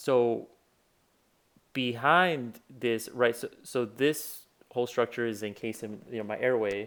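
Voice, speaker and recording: A man with a Spanish accent talks at a fairly slow pace in a medium pitch with ordinary pitch variation, on a very clean recording with a silent background. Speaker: physician. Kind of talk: tutorial. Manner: casual, many fillers.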